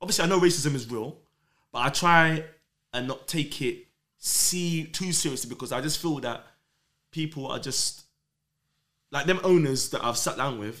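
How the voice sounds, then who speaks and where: Speaking with a London accent, a man uses lively intonation at a fairly high pitch and a moderate pace. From London, Islington. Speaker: rave promoter. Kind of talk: casual chat.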